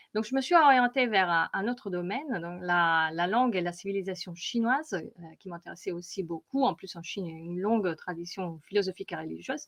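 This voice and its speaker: Against a quiet background, a woman with an Italian accent talks at a fairly quick pace and medium pitch, with lively intonation, big swings in loudness and hardly any pauses. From Italy. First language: Italian (speaking French). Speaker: data visualization consultant. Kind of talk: conference presentation. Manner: hesitant, many fillers.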